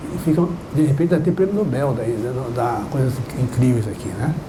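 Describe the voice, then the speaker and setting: A man speaks at a fairly high pitch. Noticeable background noise and audible room echo surround him. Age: 80s+. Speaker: professor. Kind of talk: lecture.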